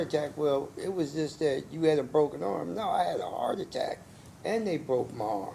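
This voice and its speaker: There is audible room echo around a man's voice. He speaks at a moderate pace with a fairly high pitch and lively intonation. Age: 60s. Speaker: defendant. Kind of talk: courtroom testimony. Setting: courtroom.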